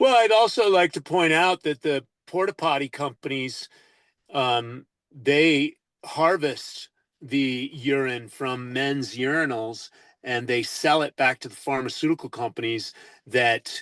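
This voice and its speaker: With an unremarkable speaking voice, a man talks at a fairly slow pace and a fairly high pitch, the sound dry and close with no echo against a quiet background. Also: ordinary pitch variation. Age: 60s. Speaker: natural health advocate. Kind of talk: interview. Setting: radio show.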